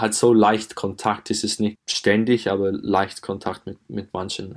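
A man with an English accent speaks fairly slowly in a fairly low voice. His intonation is monotone and flat, on a very clean recording with a silent background. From England. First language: English (speaking German). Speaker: footballer. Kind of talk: interview. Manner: halting.

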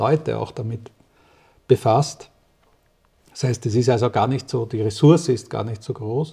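With a dark, mellow tone that is somewhat breathy, a man talks at medium pitch and a moderate pace, using ordinary pitch variation and long, frequent pauses. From Austria, rural. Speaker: physicist and company director. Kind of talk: interview. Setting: doctor's practice. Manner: halting.

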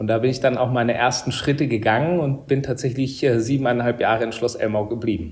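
A medium-pitched man at a very fast pace, somewhat breathy, with fairly even intonation and hardly any pauses. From Upper Bavaria, Germany (Murnau). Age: 30s. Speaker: hotel director. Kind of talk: interview. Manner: hesitant, many fillers.

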